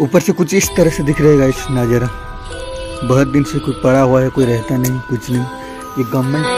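Clear music plays behind a man speaking at a moderate pace with ordinary pitch variation. The sound is dry, with no echo. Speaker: vlogger exploring. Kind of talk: casual vlog chat. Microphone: phone near.

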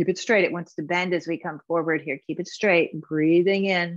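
A woman with a fairly low, gentle voice speaks in a monotone, flat intonation, with a dry sound, no echo and a quiet background. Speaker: yoga instructor. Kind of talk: guided movement and meditation class. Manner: clear step-by-step cueing, gentle and instructive. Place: home room.

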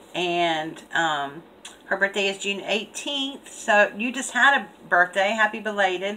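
A woman speaking at a fairly slow pace against light background noise. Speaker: craft channel host. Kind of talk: casual vlog chat, reading a letter aloud. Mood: cheerful, laughing. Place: home room. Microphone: webcam.

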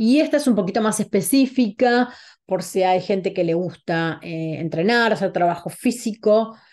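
Speaking in an Argentine accent, a woman uses lively intonation at a moderate pace. The background is quiet. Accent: Rioplatense Argentine Spanish. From Argentina, Buenos Aires. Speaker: holistic wellness coach. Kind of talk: online talk presentation. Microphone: video call.

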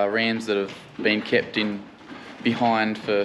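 Noticeable background noise accompanies the man who is talking. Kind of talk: casual vlog chat. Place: farm machine. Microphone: phone near.

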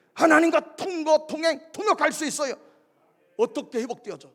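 A man with an extremely high-pitched voice talks at a fairly quick pace in an animated tone, his intonation lively. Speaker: pastor. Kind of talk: sermon. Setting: church. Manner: loud.

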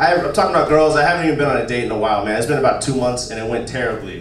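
Amid audible room echo and light background noise, a man talks at a very fast pace in an animated tone with ordinary pitch variation. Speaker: stand-up comedian. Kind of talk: stand-up comedy. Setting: stage with audience. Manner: animated, punchy crude delivery. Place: stage.

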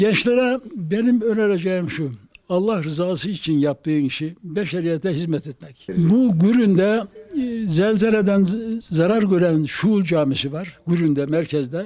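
A man with a high pitch talks at a fairly slow pace, his pitch varying in an ordinary way. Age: 90s. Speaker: retired carpenter. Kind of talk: interview.

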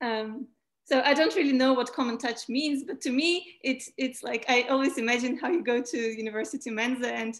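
Against a quiet background, a woman talks at a fairly quick pace in a high voice with ordinary pitch variation. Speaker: mathematician and interviewer; interviewer. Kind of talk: casual interview. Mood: relaxed, smiling, reflective. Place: home room. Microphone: video call.

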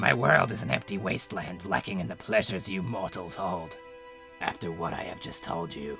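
A put-on character voice with clear music in the background. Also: man, very deep, low pitch for a man, moderate pace. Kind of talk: comic abridged parody dub. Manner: sarcastic, goofy, bored.

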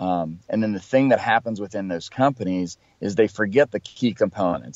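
A plain, everyday voice belongs to this man. He speaks at a moderate pace with a fairly low pitch and lively intonation. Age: 40s. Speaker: sales consultant and trainer. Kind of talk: interview.

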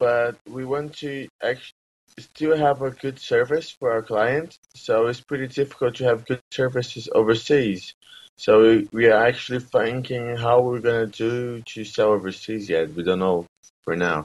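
At a fairly slow pace, a man speaks with a Portuguese accent and ordinary pitch variation. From Brazil. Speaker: entrepreneur. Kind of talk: interview. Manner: halting. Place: home room. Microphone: webcam.

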